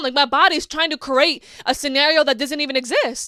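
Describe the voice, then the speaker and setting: In a very clean recording with a silent background and dry, close sound with no echo, a woman projects a raised, high-pitched voice with a bright, sharp, animated tone at a fairly quick pace. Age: 20s. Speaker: podcast host. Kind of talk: casual monologue.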